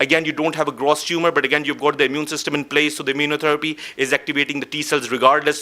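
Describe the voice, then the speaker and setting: Against noticeable background noise, a man with a fairly high pitch races along at a very fast pace. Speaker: oncologist. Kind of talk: lecture.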